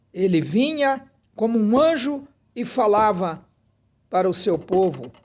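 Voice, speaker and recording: The man speaks with lively intonation. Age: 80s+. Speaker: preacher. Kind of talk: sermon.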